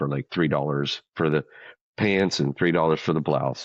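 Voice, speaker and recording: A man with a very deep, low voice and an American accent, at a fairly quick pace. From US South, rural Louisiana. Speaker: military vocalist. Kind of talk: interview storytelling. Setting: studio.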